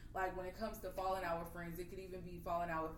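With monotone, flat intonation, a woman talks at a fairly low pitch. Noticeable background noise and audible room echo fill the recording. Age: 20s. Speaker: podcast host. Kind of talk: casual chat.

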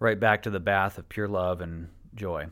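A plain, everyday voice from a man with an American accent, fairly quick in pace and fairly even in intonation, in a very clean recording with a silent background. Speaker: podcast host. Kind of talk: personal monologue.

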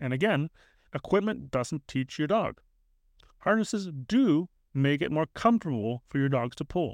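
With a normal speaking voice and fairly high pitch, a man talks at a moderate pace with lively intonation, the sound dry and close with no echo against a quiet background. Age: 30s. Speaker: dog trainer, podcast host. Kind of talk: solo podcast monologue, instructional.

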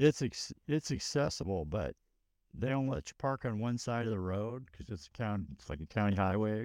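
On a very clean recording with a silent background and a dry, close sound with no echo, a man speaks at a moderate pace in a plain, everyday voice. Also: fairly low pitch for a man, lively intonation. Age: 50s. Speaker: runner and race crew member. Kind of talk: casual chat.

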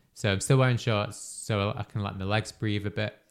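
On a very clean recording with a silent background, a man speaks with a British accent. His pitch is fairly low and his intonation fairly even. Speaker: podcast host and runner. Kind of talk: casual chat. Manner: casual, conversational.

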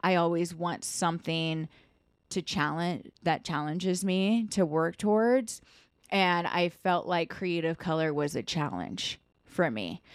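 With a normal speaking voice, a woman of fairly low pitch talks at a fairly slow pace with ordinary pitch variation, on a very clean recording with a silent background. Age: 30s. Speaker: podcast host, hairstylist and salon owner. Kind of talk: casual chat.

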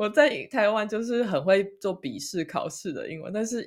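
Fairly high and fairly slow, a woman's unremarkable speaking voice carries lively intonation. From Taiwan. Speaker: podcast co-host. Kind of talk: casual chat.

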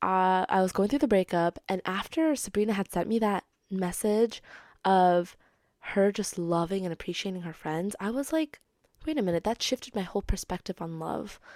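Speaking at a moderate pace and a medium pitch, a woman sounds animated, her intonation lively, in a dry, close recording with no echo and a very clean, silent background. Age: 20s. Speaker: podcast host and actor. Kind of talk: casual solo monologue.

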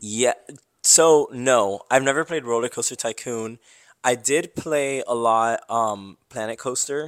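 Speaking at a fairly slow pace, a man has an ordinary speaking voice of medium pitch and ordinary pitch variation. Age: 20s. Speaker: engineer. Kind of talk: casual chat.

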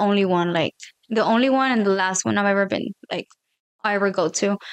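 A woman's voice with ordinary pitch variation, in a dry, close sound with no echo. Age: 20s. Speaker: guest. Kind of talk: casual chat.

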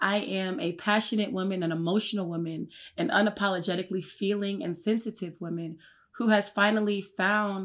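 The tone is animated, at a moderate pace with ordinary pitch variation. The recording is very clean, with a silent background. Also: woman. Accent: American. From Newark, New Jersey. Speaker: fitness coach, model and actress. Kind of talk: casual interview chat.

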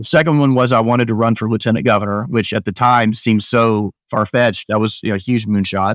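An unremarkable speaking voice from a man with an American accent, medium pitch, fairly even intonation and a fairly quick pace, in a very clean recording with a silent background and a dry, close sound with no echo. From Northwest Arkansas, US South. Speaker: emergency physician. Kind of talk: interview conversation.

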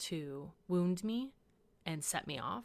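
In an American accent, a woman talks with a fairly low pitch. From US Pacific Northwest (Washington state). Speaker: podcast host sharing her story. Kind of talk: testimony.

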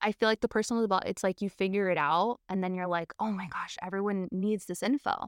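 Words come at a very fast pace with hardly any pauses and fairly even intonation, in a dry, close sound with no echo over a quiet background. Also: woman, medium pitch for a woman. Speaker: money mindset coach. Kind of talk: casual interview chat.

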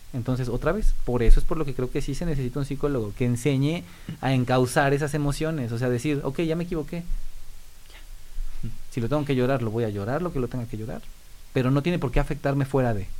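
A normal speaking voice from a man, fairly high in pitch, with ordinary pitch variation and a fairly quick pace. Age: 30s. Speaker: volleyball coach. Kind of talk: podcast interview.

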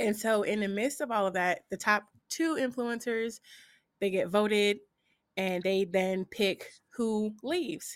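The recording is very clean, with a silent background. The speaker has an unremarkable speaking voice, a moderate pace, and ordinary pitch variation. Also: woman. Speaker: content creator and streamer. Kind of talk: casual interview chat.

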